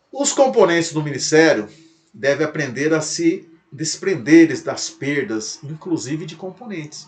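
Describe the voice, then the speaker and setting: Lively intonation in a man's normal speaking voice, pitched fairly high. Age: 60s. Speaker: pastor. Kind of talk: lecture.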